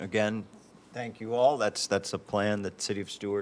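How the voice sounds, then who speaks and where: A man with an ordinary speaking voice, fairly low in pitch, with fairly even intonation. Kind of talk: meeting report. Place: hall. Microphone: podium.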